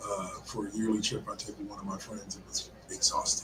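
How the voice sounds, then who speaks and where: Noticeable background noise surrounds a man who talks at a moderate pace, his intonation fairly even. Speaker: sports podcast host. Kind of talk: casual chat. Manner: halting.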